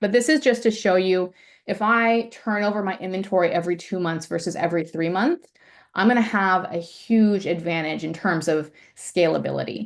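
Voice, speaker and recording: A woman speaks in a normal speaking voice. Her pitch variation is ordinary. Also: medium pitch for a woman, moderate pace. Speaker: ecommerce finance presenter. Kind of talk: webinar presentation.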